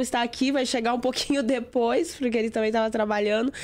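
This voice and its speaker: Fairly even intonation runs through a woman's high-pitched voice. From southern Brazil, Rio Grande do Sul. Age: 40s. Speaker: digital strategist and speaker. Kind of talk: interview testimony.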